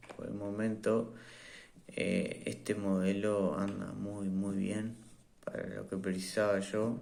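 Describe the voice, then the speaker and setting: In a room with audible echo, a man with a fairly low pitch speaks at a very slow pace. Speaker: tech reviewer. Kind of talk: product review. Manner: hesitant, many fillers.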